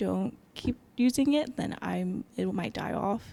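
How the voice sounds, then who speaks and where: This woman speaks in an American accent at a medium pitch. Her tone is dark and mellow. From United States. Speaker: ballet company employee. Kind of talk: interview.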